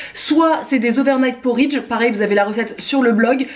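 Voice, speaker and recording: A woman's high pitch against noticeable background noise. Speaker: cooking vlogger. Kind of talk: casual cooking tutorial. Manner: fast.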